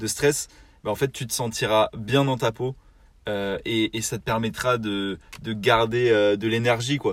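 Very slow, medium-pitched male speech with fairly even intonation. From southern France. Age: young. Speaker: podcast co-host, naval construction project manager. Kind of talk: casual chat. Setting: in a car. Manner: hesitant, many repetitions.

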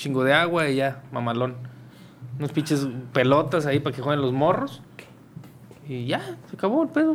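A man with a fairly high pitch speaks at a moderate pace in an ordinary speaking voice. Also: fairly even intonation. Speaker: podcast host. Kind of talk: casual chat.

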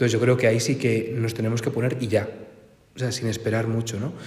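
A man speaks at a very fast pace with a medium pitch. Audible room echo surrounds his voice. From Spain, Cantabria (Santander). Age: 20s. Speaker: priest. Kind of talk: talk to a parish group.

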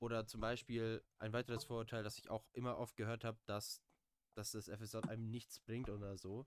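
Dry and close with no echo, the recording has a man speaking at a moderate pace in a medium pitch with monotone, flat intonation. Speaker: volunteer, podcast moderator. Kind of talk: casual chat.

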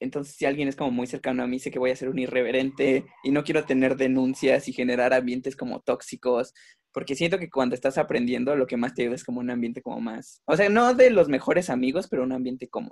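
A man's very fast, fairly even-toned speech with hardly any pauses. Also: medium pitch for a man. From Mexico. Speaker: visual artist. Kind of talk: casual chat.

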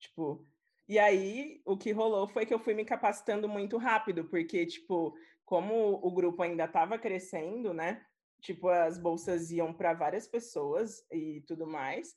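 A woman speaks at a fairly slow pace, medium in pitch with ordinary pitch variation, against a quiet background. It is a plain, everyday voice. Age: 20s. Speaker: UX writer. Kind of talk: casual chat.

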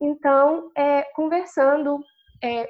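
This woman's voice sits at a high pitch. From Minas Gerais, Brazil. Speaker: chemistry student. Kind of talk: online panel Q&A.

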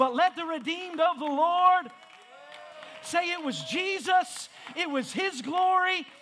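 A man speaks in a raised, projected voice with a bright, sharp tone and an animated delivery. His pitch varies ordinarily, with long, frequent pauses over crowd noise in the background. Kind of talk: sermon. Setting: church with congregation. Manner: animated, call-and-response preaching with rising fervor.

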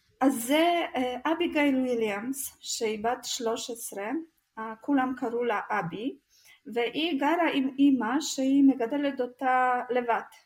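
A woman's high voice with a non-native accent, ordinary pitch variation and a very slow pace. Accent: foreign accent in Hebrew. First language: not Hebrew (speaking Hebrew). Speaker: true crime podcast co-host. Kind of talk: casual storytelling chat.

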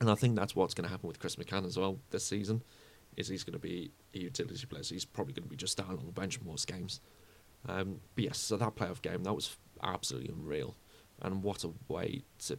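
A man talks at a very fast pace in a very deep, low pitch with vocal fry. His intonation is lively. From UK. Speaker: football fan podcaster. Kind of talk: solo podcast monologue. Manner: casual, with frequent fillers.

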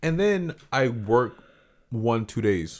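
In a very clean recording with a silent background, a man with a plain, everyday voice and an American accent speaks at medium pitch with lively intonation. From Central Florida, US. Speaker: podcast co-host. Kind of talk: casual chat.

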